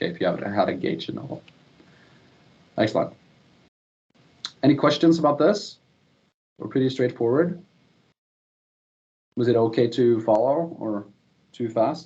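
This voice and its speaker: With long, frequent pauses, a man at a medium pitch speaks in a dark, mellow, somewhat breathy tone and with lively intonation. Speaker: software trainer. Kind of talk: tutorial. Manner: fast.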